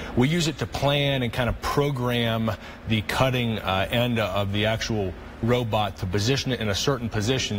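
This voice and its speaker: Noticeable background noise sits behind a man at medium pitch. He speaks at a moderate pace with ordinary pitch variation. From US, West Virginia northern panhandle. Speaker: orthopedic surgeon. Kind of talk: interview. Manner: hesitant, many fillers.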